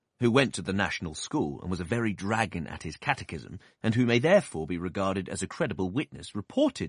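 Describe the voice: With lively intonation, the clip is plain reading aloud.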